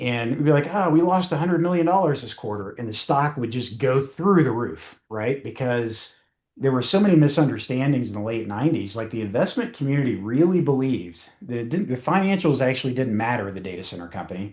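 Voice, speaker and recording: A man with a Southern US accent at a very fast pace, with very wide pitch swings and hardly any pauses. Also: medium pitch for a man. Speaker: cybersecurity association president. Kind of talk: podcast interview. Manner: many fillers and false starts.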